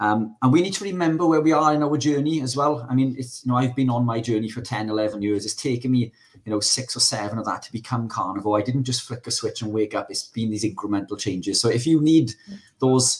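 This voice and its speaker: A man talks at a very fast pace with a Welsh accent. His pitch varies in an ordinary way over a quiet background. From Wales. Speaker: carnivore diet advocate; podcast guest or co-host. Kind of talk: casual chat. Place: home room. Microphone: studio mic.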